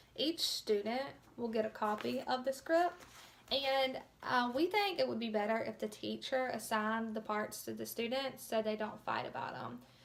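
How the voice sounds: With vocal fry and lively intonation, a woman speaks at a moderate pace in a fairly high pitch.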